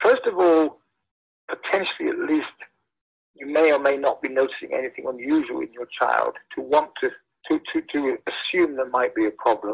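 Speaking at a moderate pace with a British accent, a man leaves long, frequent pauses. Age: 50s. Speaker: scientist. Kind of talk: interview. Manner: halting.

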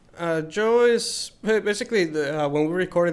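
This man talks at a middling speed, his pitch moving in an ordinary way. The voice is a normal speaking voice. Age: 20s. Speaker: band guitarist. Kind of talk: casual chat.

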